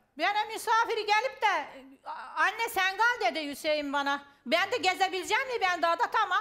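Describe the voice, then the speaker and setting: Projecting her voice, a woman speaks at an extremely high pitch with lively intonation and a bright, sharp tone, keeping a moderate pace. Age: 60s. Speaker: family member of a missing person. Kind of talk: heated debate.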